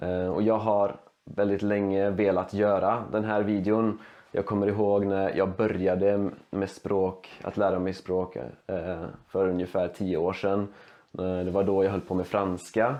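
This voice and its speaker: Fairly low in pitch and fairly slow in pace, a man speaks with monotone, flat intonation. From Sweden. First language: Swedish (speaking Czech). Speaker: language learner, youtuber. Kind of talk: language demonstration monologue. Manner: halting, many fillers and restarts.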